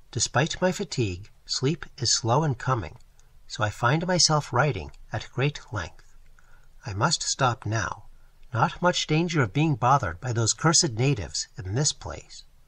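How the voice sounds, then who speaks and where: Against a quiet background, a man with a medium pitch talks at a fairly slow pace. His intonation is lively, with some vocal fry. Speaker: audiobook narrator. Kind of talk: audiobook reading of a first-person sci-fi diary entry.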